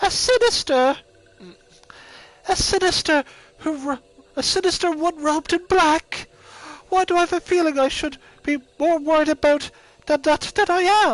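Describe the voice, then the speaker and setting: The speaker keeps a moderate pace and ordinary pitch variation, with long, frequent pauses. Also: woman, extremely high pitch for a woman. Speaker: streamer reading game dialogue aloud.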